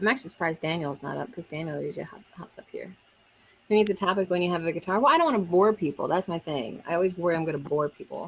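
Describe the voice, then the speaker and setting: The speaker talks at a very fast pace with an American accent and ordinary pitch variation. Loudness swings widely from moment to moment. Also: woman, fairly low pitch for a woman. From Maryland, US Mid-Atlantic. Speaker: homesteader and musician livestreamer. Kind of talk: casual live-stream chat. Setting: Zoom call streamed live on YouTube.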